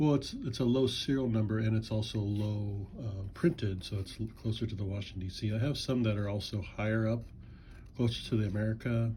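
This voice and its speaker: A man's dark, mellow, somewhat breathy voice. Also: fairly low pitch for a man, fairly even intonation, fairly quick pace. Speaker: coin and banknote collector. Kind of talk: casual video commentary. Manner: halting, many fillers.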